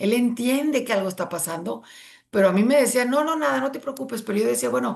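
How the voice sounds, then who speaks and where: A woman talks very fast in a fairly high voice with vocal fry. Her pitch swings very widely. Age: 60s. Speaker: near-death experience survivor. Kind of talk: interview testimony. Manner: halting.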